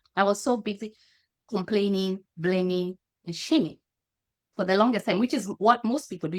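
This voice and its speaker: On a very clean recording with a silent background, a woman with a Kenyan accent talks at a moderate pace in a dry, close sound with no echo. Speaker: happiness consultant and coach. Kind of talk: podcast interview. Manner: halting, frequent self-corrections.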